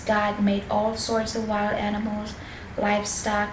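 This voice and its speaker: A soft-spoken woman whispers at a fairly slow pace. Noticeable background noise can be heard behind her. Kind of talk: Bible reading for relaxation and sleep. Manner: soft-spoken, whispered.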